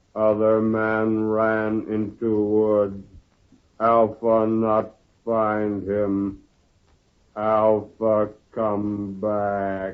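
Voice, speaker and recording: A man performs a put-on character voice with a monotone, flat intonation. He goes at a very slow pace with long, frequent pauses. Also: fairly low pitch for a man. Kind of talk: 1940s radio acting. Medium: old radio play.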